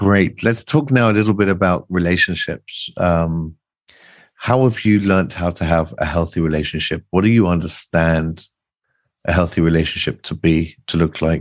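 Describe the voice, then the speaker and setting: In a very deep, low voice with ordinary pitch variation, a man speaks against a quiet background. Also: moderate pace. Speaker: podcast host. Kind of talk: podcast intro and interview questions.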